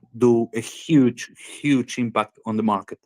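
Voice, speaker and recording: Speaking very slowly with a Spanish accent, a man at a medium pitch is recorded in a dry, close sound with no echo. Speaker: game developer founder. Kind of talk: interview. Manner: halting.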